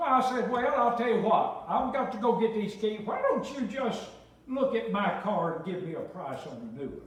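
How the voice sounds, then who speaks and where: Lively intonation in a South Carolina accent, with big swings in loudness at a moderate pace, plus noticeable background noise and audible room echo. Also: man, extremely high pitch for a man. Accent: Southern US, South Carolina. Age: 70s. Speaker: pastor. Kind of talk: sermon. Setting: church. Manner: animated.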